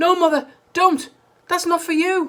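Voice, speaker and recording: In a squeaky, put-on character voice at an extremely high pitch, a man speaks at a moderate pace with a monotone, flat intonation and an anxious tone. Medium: read story. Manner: anxious, high-strung.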